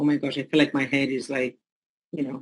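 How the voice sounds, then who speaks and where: This woman has a very deep, low-pitched voice. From Caribbean islands. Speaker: meeting participant. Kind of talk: question in group call.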